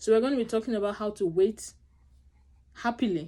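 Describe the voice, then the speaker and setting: Mumbling at a fairly quick pace, a woman speaks with a dark, mellow tone. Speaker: vlogger sharing infertility experience. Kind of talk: personal vlog talk to camera. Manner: fast, mumbling.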